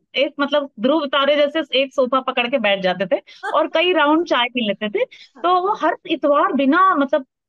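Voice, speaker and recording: A woman with a high voice talks at a moderate pace with lively intonation. Her loudness stays very even. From India, Bhopal. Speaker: podcast co-host. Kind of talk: casual chat.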